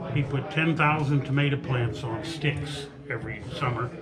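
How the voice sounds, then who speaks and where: Over music in the background and audible room echo, a man talks at a very slow pace with a fairly high pitch and ordinary pitch variation. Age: 80s+. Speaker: former family member of cabin residents. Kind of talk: reminiscence at open house. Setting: open house event, indoors. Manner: halting. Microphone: rough sound, equipment issues.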